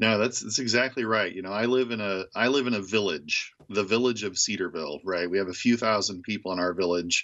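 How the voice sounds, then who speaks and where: A man with a plain, everyday voice speaks at a fairly low pitch with hardly any pauses. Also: ordinary pitch variation, fairly quick pace. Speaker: university professor. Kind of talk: radio interview.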